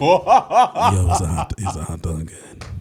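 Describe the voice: A man puts on a gravelly character voice. He delivers it at a fairly slow pace.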